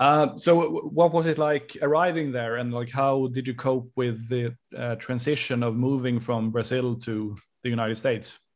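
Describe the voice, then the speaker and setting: A man with a Swedish accent speaks at a moderate pace and medium pitch, with fairly even intonation against a quiet background. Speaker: podcast host interviewer. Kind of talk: casual interview.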